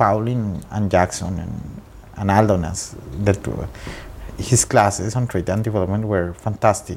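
A man speaks with a Spanish accent and a fairly low pitch. Noticeable background noise runs underneath. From Colombia, Bogota. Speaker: trade diplomat. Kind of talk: interview. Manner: halting.

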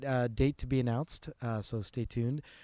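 On a very clean recording with a silent background, a man with a Canadian accent and a plain, everyday voice speaks at a moderate pace, medium pitch and fairly even intonation. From Canada, Toronto area. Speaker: digital accessibility expert. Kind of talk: interview.

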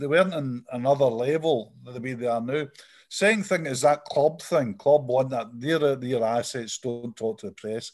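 A medium-pitched man with a Scottish accent, at a fairly slow pace and with ordinary pitch variation. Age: 60s. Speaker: football journalist. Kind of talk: casual chat.

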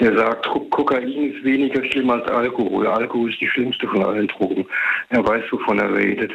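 Noticeable background noise sits behind a man talking at medium pitch. He keeps a moderate pace and fairly even intonation. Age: 60s. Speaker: radio caller. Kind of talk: phone-in discussion. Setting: phone call.

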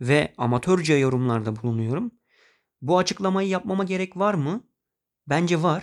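Over a silent background in a very clean recording, a man with an unremarkable speaking voice talks with lively intonation and a fairly high pitch, the sound dry and close with no echo. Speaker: podcast host. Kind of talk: personal monologue podcast.

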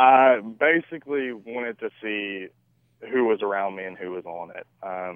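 In a Southern US accent, a man speaks at a fairly slow pace and a fairly low pitch. His pitch varies normally while his loudness swings widely. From US South, Shreveport, Louisiana. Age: 20s. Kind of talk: radio interview. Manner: hesitant, many fillers.

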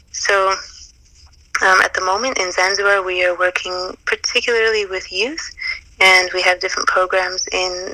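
Over noticeable background noise, a woman of medium pitch speaks at a moderate pace with a monotone, flat intonation. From Canada, Calgary. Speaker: charity founder and nurse. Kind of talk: interview.

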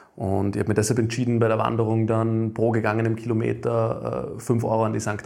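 Medium pitch from a man, dark and mellow in tone, at a moderate pace. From Upper Austria. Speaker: company founder. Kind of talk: interview. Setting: studio.

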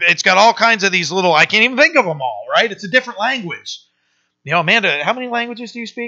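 A man's raised, projected voice, high and bright with a sharp tone, very fast, with lively intonation and big swings in loudness. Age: 40s. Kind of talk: sermon. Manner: halting.

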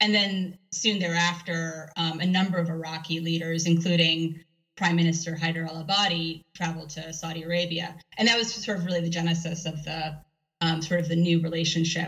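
The voice carries an American accent at a fairly quick pace. Its intonation is monotone and flat. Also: woman, fairly low pitch for a woman. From US, New York City. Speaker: professor and author. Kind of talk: interview.

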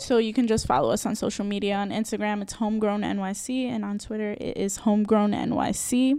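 A woman with a New York accent talks at a very fast pace, with hardly any pauses and fairly even intonation at a medium pitch. Noticeable background noise runs under her voice. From New York City, the Bronx. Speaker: small business owner. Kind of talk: interview.

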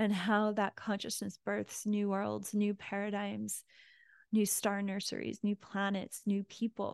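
A woman's medium-pitched voice, gentle and soothing in tone, flat and monotone, with a dry, close sound and no echo. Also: fairly slow pace. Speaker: spiritual teacher leading online prayer group. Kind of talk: guided prayer invocation, devotional and meditative, with call-and-response affirmations; casual welcome chat then spiritual talk. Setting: online live group call. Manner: gentle, reverent, slow and soothing; warm, heartfelt, inviting the audience to repeat affirmations.

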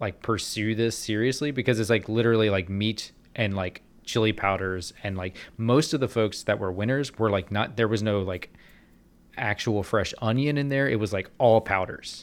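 In a very clean recording with a silent background, a man with a plain, everyday voice speaks at a moderate pace, his fairly low pitch kept to fairly even intonation. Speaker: guest, video game sound designer. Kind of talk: casual podcast discussion.

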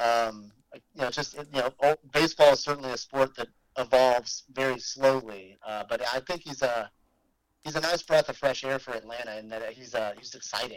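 With an unremarkable speaking voice, a man talks at a moderate pace and medium pitch, his intonation fairly even but his loudness swinging widely. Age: 30s. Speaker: brewery operations director. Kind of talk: casual chat.

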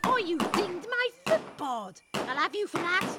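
A woman uses a put-on character voice, pitched extremely high, with a bright, sharp tone. She talks at a fairly slow pace with big pitch swings.

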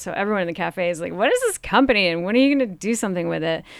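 Medium-pitched female speech with ordinary pitch variation, on a very clean recording with a silent background. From northern Vermont. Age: 40s. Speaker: cafe founder and entrepreneur. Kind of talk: interview. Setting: studio.

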